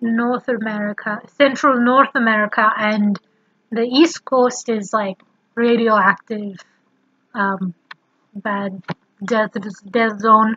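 Speaking very slowly with long, frequent pauses, a woman uses a fairly high pitch and fairly even intonation over light background noise. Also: dry sound with no echo. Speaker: vlogger. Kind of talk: casual vlog talk to camera. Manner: runs words together. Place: home room. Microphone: webcam.

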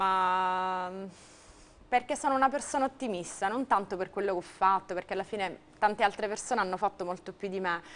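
A woman speaks in an ordinary speaking voice at medium pitch. Her pace is fairly quick, with ordinary pitch variation. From Sicily. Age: 30s. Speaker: volleyball player; interviewee. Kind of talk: TV interview. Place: studio. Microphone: lapel.

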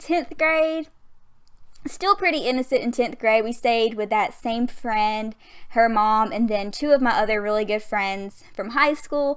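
The speaker has a Southern US accent and talks at a fairly slow pace. The background is quiet. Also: woman. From Southern US (Alabama). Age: 20s. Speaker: gaming youtuber. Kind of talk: casual gaming voiceover, storytime. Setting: home USB mic. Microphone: studio mic.

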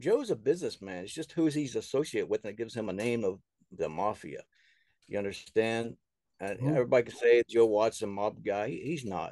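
A man's dark, mellow voice at a fairly quick clip, lively in intonation with big swings in loudness, dry and echo-free over a quiet background. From US South. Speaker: author and filmmaker. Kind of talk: casual interview. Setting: remote call. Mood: earnest, somewhat aggrieved. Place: home room. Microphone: video call.

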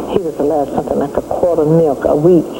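Noticeable background noise sits behind a woman whose very deep, low pitch shows ordinary pitch variation. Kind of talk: interview answer. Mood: sad, reflective. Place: home room.

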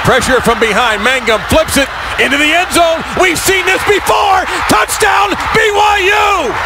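A man speaks at a moderate pace. The sound is dry with no echo, but loud background noise is present. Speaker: radio sports broadcaster. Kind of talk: live radio football play-by-play call. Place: booth.

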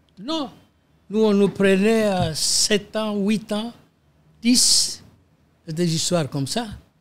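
Long pauses occur frequently. Overall the speech moves very slowly. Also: man, high pitch for a man, ordinary pitch variation. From DR Congo. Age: 80s+. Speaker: lawyer and politician. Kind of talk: interview.

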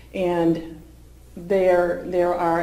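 A woman with an American accent and audible room echo. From Massachusetts (Stoneham, near Boston); Massachusetts. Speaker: policy advocate at a nonprofit; presenter. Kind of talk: public talk at a forum. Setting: forum with live audience. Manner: halting, many fillers and repeats. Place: meeting room. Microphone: podium.

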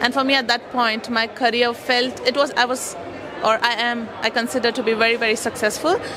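Crowd noise fills the background as the speaker goes at a fairly quick pace in a monotone, flat intonation. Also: woman. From India. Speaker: customer testimonial speaker. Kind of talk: testimony. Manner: halting. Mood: reflective, earnest. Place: hall. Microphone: handheld.

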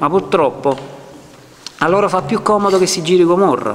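Over light background noise, a man talks with a high pitch. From Naples, Ponticelli. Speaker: film director. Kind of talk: public speech. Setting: public presentation with audience. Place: hall. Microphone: podium.

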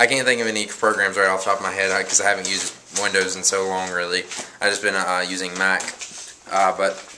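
Over noticeable background noise, a man with a very deep, low pitch speaks very fast in a flat monotone. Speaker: vlogger. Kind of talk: casual vlog chat, answering a viewer question. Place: home room. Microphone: phone near.

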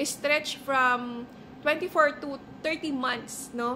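Over light background noise, a woman uses a raised, projected voice, high in pitch with ordinary pitch variation. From Philippines. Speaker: real estate agent. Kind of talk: tutorial. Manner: animated. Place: home room. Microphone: phone near.

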